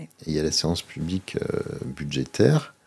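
At a moderate pace, a man speaks in a dark, mellow tone with vocal fry. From Monaco. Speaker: local politician and association president. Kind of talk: interview. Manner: halting, frequent repetitions.

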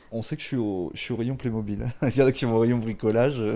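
A man with a medium pitch and a dark, mellow tone talks at a moderate pace with ordinary pitch variation. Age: 50. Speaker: chef. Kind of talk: casual chat. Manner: hesitant, many fillers.

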